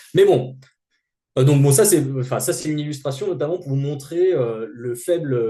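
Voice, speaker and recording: A man's somewhat breathy voice with a dark, mellow tone, lively intonation, a moderate pace and audible room echo. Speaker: sociologist. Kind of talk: lecture. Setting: seminar. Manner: halting.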